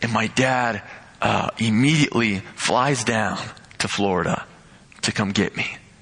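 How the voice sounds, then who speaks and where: A man talks at a fairly slow pace with long, frequent pauses. Background noise is noticeable. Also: medium pitch for a man, ordinary pitch variation. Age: young (19). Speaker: pastor's son, lay preacher. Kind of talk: sermon.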